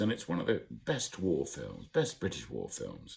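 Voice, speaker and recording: Very deep and low, the man's voice carries vocal fry. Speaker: broadcaster. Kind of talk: casual talk to camera. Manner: reassuring.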